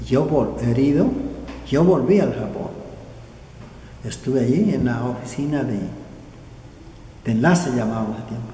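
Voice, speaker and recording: A man speaks at medium pitch and a moderate pace with ordinary pitch variation and long, frequent pauses, amid audible room echo and noticeable background noise. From southern Colombia (Nariño). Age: 80s+. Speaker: war veteran. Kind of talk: oral history interview. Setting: indoors at veterans' association office. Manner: halting, repeats words.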